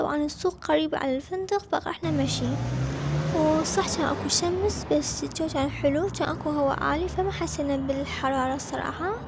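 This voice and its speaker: Noticeable background noise runs under a woman who talks at a moderate pace. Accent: Iraqi. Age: 20s. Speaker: travel vlogger. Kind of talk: vlog narration.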